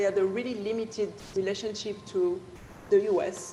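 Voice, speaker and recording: A French accent amid noticeable background noise and audible room echo. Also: woman. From France. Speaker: dancer and choreographer. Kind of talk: panel discussion. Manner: halting.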